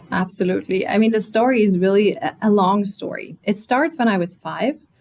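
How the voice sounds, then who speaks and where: A woman speaks at a fairly quick pace with a German accent. Her pitch sits in the medium range and varies in an ordinary way. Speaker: automotive executive. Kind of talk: interview.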